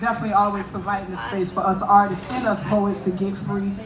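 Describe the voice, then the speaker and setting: Energetic and fairly quick, a woman with an American accent speaks amid noticeable background noise and audible room echo. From US South (north Florida). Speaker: spoken word poet. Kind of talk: stage banter; poetry performance. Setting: stage with audience.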